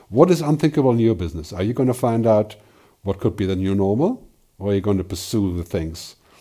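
A man speaks at a fairly quick pace in a fairly low, somewhat breathy voice with a dark, mellow tone and lively intonation. The recording is very clean, with a silent background. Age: 60s. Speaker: futurist speaker. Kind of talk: solo talk / presentation. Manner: hesitant fillers.

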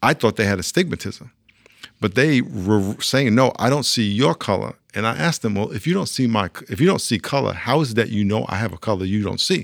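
Speaking in a plain, everyday voice, a man with an American accent uses lively intonation at a fairly low pitch. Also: fairly quick pace. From New York. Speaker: pastor and author. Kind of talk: interview. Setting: studio.

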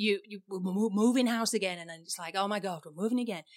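A woman with an English accent, medium pitch, and fairly quick pace on a very clean recording against a silent background. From England. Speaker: photographer and podcast co-host. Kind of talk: casual chat.

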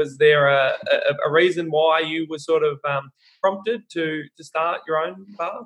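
Speaking in an Australian accent, a man with a fairly high pitch talks at a fairly slow pace with ordinary pitch variation. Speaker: podcast host. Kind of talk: interview.

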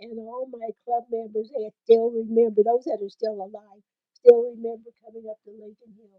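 Speaking at a moderate pace, a woman uses a fairly high, monotone, flat voice while her loudness swings widely. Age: 80s+. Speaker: family matriarch. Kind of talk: casual family chat. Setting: family cabin in the mountains.

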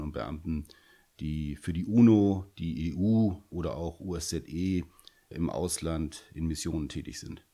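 Ordinary pitch variation runs through a dark, mellow tone. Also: man. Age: 50s. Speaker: police officer. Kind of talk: interview.

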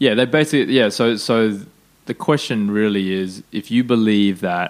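A man with an Australian accent speaks at a fairly slow pace. His pitch is fairly low, with ordinary pitch variation. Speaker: podcast host. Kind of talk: casual interview.

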